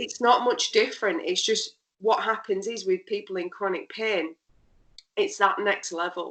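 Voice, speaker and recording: Speaking with a British accent, a woman uses lively intonation at a moderate pace and a fairly high pitch. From UK. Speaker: pain therapist. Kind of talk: interview. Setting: podcast.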